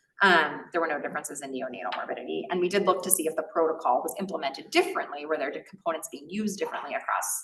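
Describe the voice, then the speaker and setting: A woman at a very fast pace with hardly any pauses and big swings in loudness. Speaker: physician researcher in maternal fetal medicine. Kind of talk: lecture.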